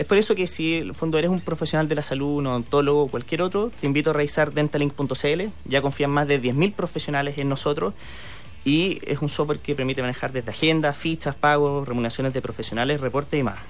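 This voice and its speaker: A man talks very fast at a fairly high pitch, with ordinary pitch variation. Music plays in the background. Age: 30s. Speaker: tech entrepreneur. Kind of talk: radio interview.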